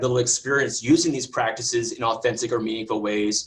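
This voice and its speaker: This man's voice is somewhat breathy. He talks very fast, with ordinary pitch variation. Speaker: science educator presenting a webinar. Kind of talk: webinar presentation. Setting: video call webinar.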